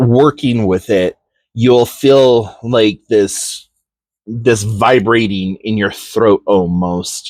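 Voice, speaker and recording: Very slowly and at a medium pitch, a man speaks with ordinary pitch variation in a dry, close sound with no echo. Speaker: tarot reader and witchcraft teacher. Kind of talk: tutorial. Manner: casual with many fillers.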